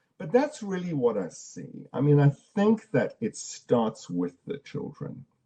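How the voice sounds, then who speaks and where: This voice is somewhat breathy with a dark, mellow tone, and it moves at a fairly slow pace. Its pitch swings very widely, and the sound is dry and close with no echo. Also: man. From South Africa. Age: 60s. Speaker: storytelling practitioner and speaker. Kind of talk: online conference Q&A. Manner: halting, with frequent repetitions.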